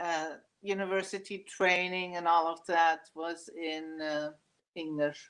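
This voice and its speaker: A woman's fairly low voice in a German accent, fairly slow and with monotone, flat intonation, on a very clean recording with a silent background. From Germany. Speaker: artist. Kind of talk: casual interview.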